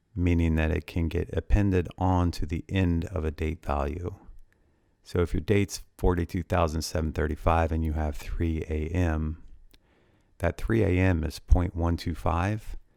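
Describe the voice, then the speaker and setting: A man speaks at a moderate pace in a very deep, low voice with a dark, mellow tone and flat, monotone intonation, on a very clean recording with a silent background. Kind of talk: ASMR spreadsheet tutorial.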